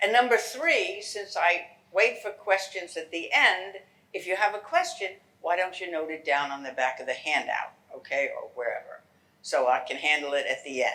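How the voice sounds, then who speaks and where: A woman with a New York accent and a bright, sharp tone speaks at a medium pitch and a moderate pace, with very wide pitch swings and big swings in loudness. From New York City. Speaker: genealogy lecturer. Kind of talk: lecture. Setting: lecture hall with audience.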